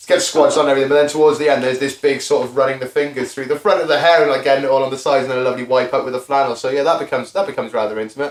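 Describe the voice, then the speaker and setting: A man rattles off his words at a very fast clip, barely pausing, his voice fairly high-pitched against noticeable background noise. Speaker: podcast host. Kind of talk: casual chat. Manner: loud; animated.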